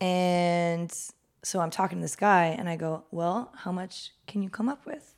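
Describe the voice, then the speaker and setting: A woman with an American accent, an ordinary speaking voice, fairly low pitch, ordinary pitch variation, and a fairly slow pace, in a very clean recording with a silent background. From Los Angeles, San Fernando Valley. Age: 30s. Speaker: artist and small business owner. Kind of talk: casual chat.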